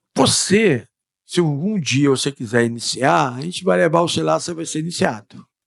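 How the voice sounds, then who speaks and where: This man has a fairly high pitch. He talks at a moderate pace, his voice making very wide pitch swings. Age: 60s. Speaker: freemason guest explaining freemasonry. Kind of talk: podcast interview. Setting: podcast studio. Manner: casual, repetitive conversational.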